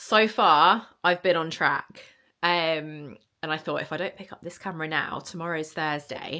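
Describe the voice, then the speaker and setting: Very clean and set against a silent background, the recording has a woman speaking fairly slowly in a fairly low pitch, with fairly even intonation and a bright, sharp tone. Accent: British. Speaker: vlogger. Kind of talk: casual vlog. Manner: chatty, frequent ums.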